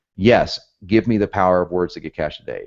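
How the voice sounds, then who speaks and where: Very fast pace from a man with an American accent. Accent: southern accent, occasionally northern. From US, north and south. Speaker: copywriting instructor. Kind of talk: online course lecture. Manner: animated.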